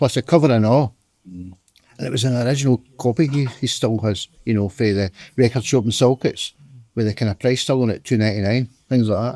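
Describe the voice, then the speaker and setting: Here a man talks at a fairly quick pace with a Scottish accent. His medium-pitched voice has a dark, mellow tone and ordinary pitch variation. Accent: Scottish (Ayrshire). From Scotland, Ayrshire. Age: 50s. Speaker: local music fan. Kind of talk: casual chat.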